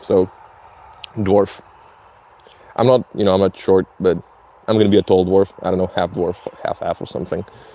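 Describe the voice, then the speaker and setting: The sound is dry and close with no echo, though background noise is noticeable. Delivery moves at a moderate pace with fairly even intonation. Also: man. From Slovenia. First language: Slovenian. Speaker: streamer. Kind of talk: casual live stream chat. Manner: halting, many fillers.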